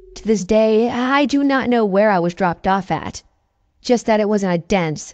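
At a fairly high pitch and a moderate pace, a woman speaks in an unremarkable speaking voice. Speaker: scary story narrator. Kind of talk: ghost story telling, reading listener-submitted tales aloud.

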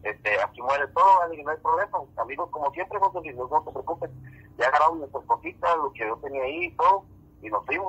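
Bright and sharp in tone, a man talks at a fairly quick pace in a fairly high pitch with ordinary pitch variation, the sound dry and close with no echo. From northern Mexico. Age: 40s. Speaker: musician. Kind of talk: casual chat. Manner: halting.

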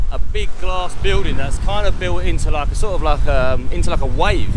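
A man talks at a medium speed, dry and echo-free, with loud noise behind him. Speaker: travel vlogger. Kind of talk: casual vlog chat. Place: street. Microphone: phone near.

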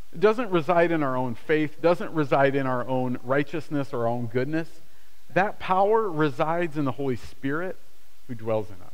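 A man with an unremarkable speaking voice talks at a moderate pace, fairly high in pitch with lively intonation. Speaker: pastor. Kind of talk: sermon; prayer. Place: church.

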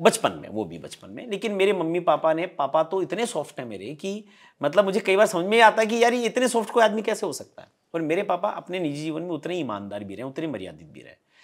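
A man's high-pitched voice at a fairly quick pace, lively intonation, big swings in loudness, hardly any pauses and a quiet background. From Rajasthan. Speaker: stage anchor and motivational speaker; stage anchor, motivational speaker. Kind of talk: interview conversation. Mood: relaxed, smiling storytelling. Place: home room. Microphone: lapel.

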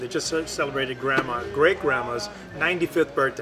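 Very fast and with ordinary pitch variation, a man speaks over clear music in the background. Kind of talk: interview answer. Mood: warm, proud. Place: cafe.

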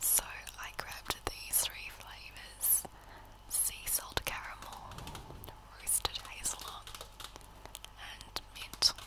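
The voice moves at a very slow pace, broken by long, frequent pauses. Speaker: ASMR creator. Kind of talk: ASMR unboxing and eating. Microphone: studio mic.

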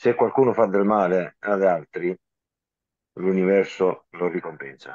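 Against a quiet background and in a dry sound with no echo, a man with a very deep, low pitch speaks at a fairly slow pace, using ordinary pitch variation and long, frequent pauses. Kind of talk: online group meeting. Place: home room. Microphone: video call.

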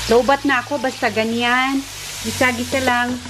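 There is noticeable background noise as a woman speaks at a very slow pace. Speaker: home cooking vlogger. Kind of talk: casual cooking vlog talk. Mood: playful, self-teasing. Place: kitchen. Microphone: phone near.

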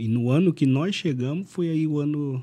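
Speaking at a fairly slow pace, this man has a dark, mellow tone. His intonation is lively. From Brazil. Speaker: former footballer; podcast guest. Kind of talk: casual chat. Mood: relaxed, reminiscing. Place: studio. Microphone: studio mic.

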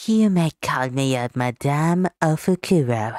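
A woman speaks with lively intonation in a dry, close sound with no echo, on a very clean recording with a silent background. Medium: voice reel. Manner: snooty, scolding.

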